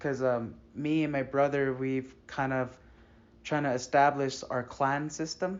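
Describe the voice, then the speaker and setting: This man speaks fairly slowly at a fairly high pitch. His intonation is monotone and flat. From US Southwest, Sandia Pueblo, New Mexico. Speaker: student interviewer. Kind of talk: interview. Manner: halting.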